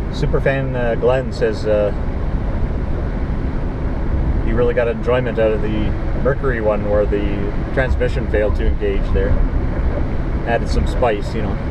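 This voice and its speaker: Against loud background noise, a man speaks at a moderate pace with long, frequent pauses, the sound dry and free of echo. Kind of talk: casual vlog chat. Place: car. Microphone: camera far.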